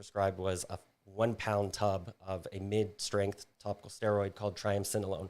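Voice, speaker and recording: A man with an American accent talks at a moderate pace and fairly low pitch in a flat monotone, on a very clean recording with a silent background. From US South, Florida panhandle. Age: 30s. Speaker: podcast guest. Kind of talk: testimony.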